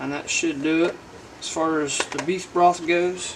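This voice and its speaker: With a Southern US accent, a man talks in a high pitch. His intonation is fairly even, and there is noticeable background noise. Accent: self-described southern. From Indiana, US Midwest. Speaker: homestead channel host cooking. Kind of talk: cooking tutorial. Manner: casual, folksy. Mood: relaxed, cheerful. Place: kitchen.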